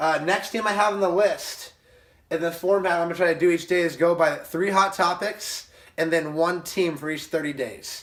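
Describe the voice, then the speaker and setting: A man's voice, high for a man, with fairly even intonation and noticeable background noise. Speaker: baseball vlogger. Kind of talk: casual solo commentary. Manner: fast; mumbling, halting.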